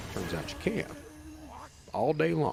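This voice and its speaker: A man is speaking. His pace is fairly quick. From Eastern Kentucky. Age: 50s. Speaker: former fraudster telling his story. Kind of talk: long-form podcast interview. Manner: casual, matter-of-fact storytelling.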